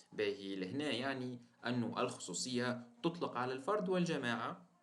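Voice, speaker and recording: A man speaks fairly slowly at a medium pitch with lively intonation. There is audible echo from the room. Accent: Tunisian. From Tunisia. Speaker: teacher. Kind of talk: lecture. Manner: halting, with fillers and repeated words.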